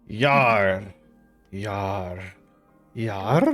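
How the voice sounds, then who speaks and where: A man uses a put-on character voice with a fairly low pitch. Faint music plays in the background. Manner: gruff, exaggerated.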